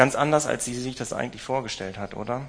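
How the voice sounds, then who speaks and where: Warm in tone, a man's voice sits at medium pitch. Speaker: preacher. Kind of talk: sermon. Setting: church with livestream. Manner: warm, personal, direct address to the congregation; storytelling, measured, thoughtful with fillers.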